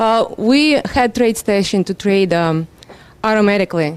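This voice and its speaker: A woman with a Russian accent speaks in a medium-pitched voice. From Russia, Moscow. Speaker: seminar attendee, trader. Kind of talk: self-introduction at seminar. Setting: seminar room.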